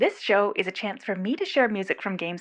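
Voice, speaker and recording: Against a quiet background, a woman talks in a plain, everyday voice with a fairly high pitch. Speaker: radio show host. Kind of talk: radio show host intro.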